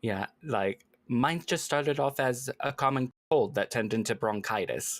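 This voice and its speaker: On a very clean recording with a silent background and a dry, close sound with no echo, a man with an American accent speaks at medium pitch and a moderate pace, his pitch varying in an ordinary way. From United States. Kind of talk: casual chat.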